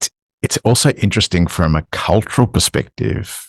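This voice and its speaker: With an Australian accent and vocal fry, a man's voice makes very wide pitch swings in a dry, close sound with no echo. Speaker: podcast co-host. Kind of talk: casual chat.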